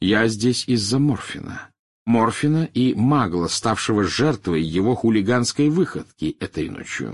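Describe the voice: A man puts on a character voice, fairly low in pitch with a slightly husky edge and lively intonation, at a fairly slow pace. The recording is very clean, with a silent background.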